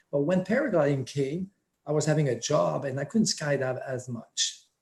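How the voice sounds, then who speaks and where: Somewhat breathy, a man speaks at a fairly high pitch with ordinary pitch variation. He keeps a fairly quick pace. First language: French. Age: 60s. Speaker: paramotor instructor. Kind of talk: interview.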